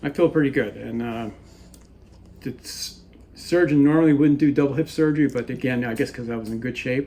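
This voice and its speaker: A dark, mellow tone at a fairly quick pace, with fairly even intonation and long, frequent pauses. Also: man, fairly high pitch for a man. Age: 60s. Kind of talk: interview answer.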